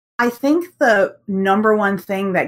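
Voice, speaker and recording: Here a woman speaks with an American accent. Her pace is fairly slow and her pitch medium. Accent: American, with UK roots. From UK. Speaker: artist and world builder. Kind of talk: casual interview.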